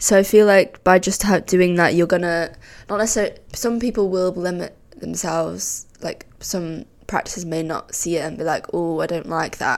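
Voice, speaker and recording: A woman's fairly low-pitched voice at a moderate pace, an ordinary speaking voice with ordinary pitch variation. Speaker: podcast co-host, architecture student. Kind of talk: casual chat.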